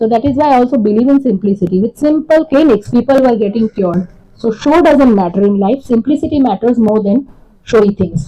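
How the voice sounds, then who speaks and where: A woman with a Gujarati accent at a fairly quick pace, fairly high in pitch, dark and mellow in tone, with lively intonation and very even loudness. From India, raised in Kolkata, Gujarati family. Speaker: homeopathy lecturer. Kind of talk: lecture.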